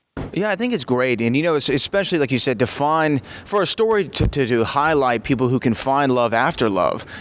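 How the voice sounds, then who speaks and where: A man speaks at a fairly quick pace in a normal speaking voice, fairly high in pitch, with lively intonation. His loudness stays very even and he hardly pauses at all. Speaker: radio host. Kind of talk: interview question.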